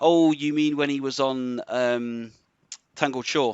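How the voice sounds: A man's clear, smooth tone with fairly even intonation, recorded with a dry, close sound and no echo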